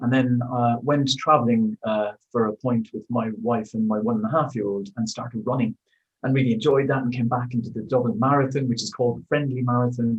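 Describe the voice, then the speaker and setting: With music in the background, a man with an Irish accent speaks at a medium pitch and a fairly quick pace, his intonation fairly even. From Ireland. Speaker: amateur cyclist, record holder. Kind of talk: interview. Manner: halting, many fillers.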